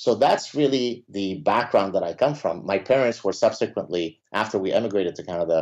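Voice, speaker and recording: A man with an Arabic accent speaks at a fairly quick pace with hardly any pauses, his medium pitch showing ordinary variation. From Lebanon. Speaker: professor. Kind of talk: interview.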